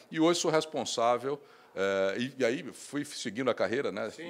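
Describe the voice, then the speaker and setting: His pitch rises and falls in an ordinary way. The man keeps a moderate speed. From Brazil, Recife (Pernambuco); Pernambuco, Brazil. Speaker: bank executive; guest. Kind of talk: interview. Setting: trade fair booth studio. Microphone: handheld.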